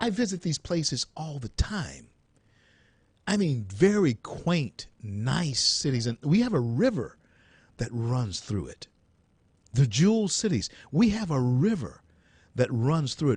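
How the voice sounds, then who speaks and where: A man's somewhat breathy voice with a Louisiana accent, fairly high in pitch, with very wide pitch swings, a fairly slow pace and long, frequent pauses. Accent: Southern US (Louisiana). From US South. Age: 60s. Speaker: radio talk show host. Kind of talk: call-in talk radio.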